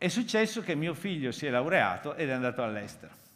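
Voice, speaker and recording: A man's fairly high-pitched voice with a bright, sharp tone. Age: 50s. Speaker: foundation president, keynote speaker; keynote speaker. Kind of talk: conference keynote talk. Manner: halting. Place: hall. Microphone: headset.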